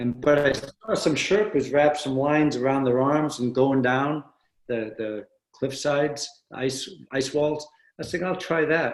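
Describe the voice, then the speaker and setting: A man with a fairly high pitch speaks at a fairly slow pace with ordinary pitch variation in an unremarkable speaking voice. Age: 60s. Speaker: former Navy SEAL, author and adventure racer. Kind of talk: podcast interview.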